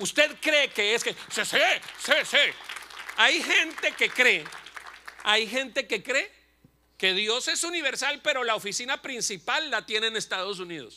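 With crowd noise in the background, a man speaks in a raised, projected voice. His pitch is extremely high, his tone animated, and his pace fairly slow. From Colombia, Bucaramanga; Colombia. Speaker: pastor and comedian; pastor, comedian. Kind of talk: sermon. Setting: church. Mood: humorous, passionate. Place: church. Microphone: handheld.

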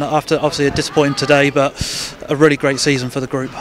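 Faint background noise sits behind a man who talks at a fast pace with a fairly high pitch and little pitch movement.

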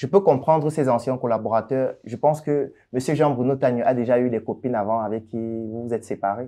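A man talks at a fairly quick pace. His tone is dark and mellow, with a quiet background. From Cameroon, Yaoundé; Cameroon. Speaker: doctor and entrepreneur; interviewee. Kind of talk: interview. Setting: office. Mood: calm, explaining, defending himself. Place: studio. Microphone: lapel.

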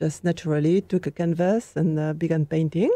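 A woman speaks with a French accent. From France, Normandy. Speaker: painter. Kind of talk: interview.

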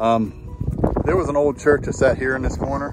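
Clear music plays in the background as the voice, recorded with a dry sound and no echo, moves at a moderate pace with ordinary pitch variation. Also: man. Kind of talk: casual vlog chat. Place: open country. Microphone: phone near.

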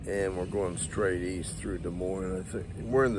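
Over noticeable background noise, a man speaks in a very deep, low voice with fairly even intonation, in a dry sound with no echo. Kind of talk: casual vlog chat. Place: street. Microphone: phone near.

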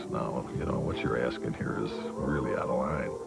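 A man at a moderate pace over loud music in the background. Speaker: interviewee. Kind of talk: interview answer. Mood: amused, wry. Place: home room.

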